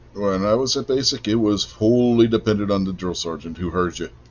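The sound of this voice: A man talks fairly quickly, his fairly low pitch rising and falling in an ordinary way.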